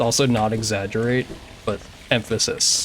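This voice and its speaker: The delivery comes at a moderate pace with monotone, flat intonation. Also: man. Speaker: video game streamer. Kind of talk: casual live-stream chat while speedrunning.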